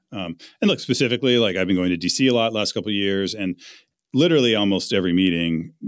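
Very deep and low, a man's voice moves at a very fast pace with ordinary pitch variation. The recording is very clean, with a silent background. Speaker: author and venture investor. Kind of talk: interview.

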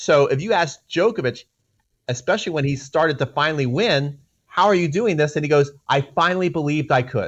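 Fairly high pitch for a man, with ordinary pitch variation and a fairly quick pace. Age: 40s. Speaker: tennis coach. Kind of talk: casual interview. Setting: remote call from Australia.

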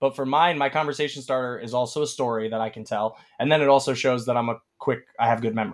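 With an American accent, a man speaks at a medium pitch and a very fast pace. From Chicago area. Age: 20s. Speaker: actor. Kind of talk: interview. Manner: animated.

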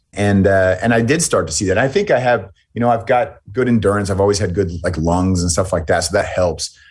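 With an American accent, a man speaks in a plain, everyday voice, fairly low in pitch, at a fairly quick pace with hardly any pauses, ordinary pitch variation, and a quiet background. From United States. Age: 40s. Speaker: military veteran. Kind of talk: interview conversation.

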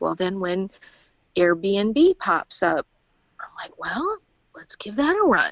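A woman speaks with a Midwestern American accent. Her pace is fairly slow. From Indiana, near Chicago. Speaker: army veteran and small farm owner. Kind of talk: interview.

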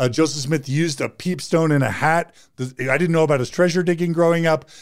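A man with a normal speaking voice at a fairly quick pace, ordinary pitch variation, and a very clean recording with a silent background. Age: 50s. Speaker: psychologist and podcast host. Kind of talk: interview conversation.

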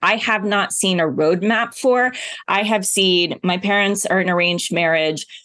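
A woman with an American accent talks at a moderate pace in a medium pitch with ordinary pitch variation. Her tone is bright and sharp, and her loudness stays very even. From US South, Oklahoma. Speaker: TV journalist and speaker. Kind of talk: interview conversation.

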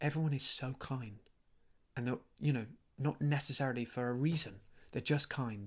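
Quiet and somewhat breathy, a man speaks at medium pitch with fairly even intonation and long, frequent pauses. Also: moderate pace. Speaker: podcast host and actor. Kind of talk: casual chat. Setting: at home. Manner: halting, many fillers; quiet, keeping voice down.

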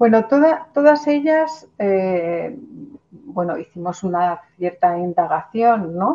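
Speaking at a very slow pace with hardly any pauses, a woman uses a medium pitch that swings very widely. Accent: Spanish. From Spain. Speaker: cultural manager and researcher. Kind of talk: interview.

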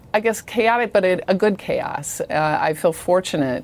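A woman with an American accent, vocal fry, a fairly slow pace and ordinary pitch variation. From Iowa. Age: 50s. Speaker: company CEO. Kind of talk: interview.

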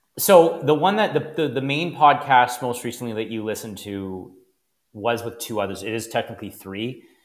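With an ordinary speaking voice and a Canadian accent, a man talks at a medium pitch and a moderate pace, his intonation lively and his loudness swinging widely, in a very clean recording with a silent background. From Canada, Niagara region, Ontario. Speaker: financial planner and podcast host. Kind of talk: casual chat.

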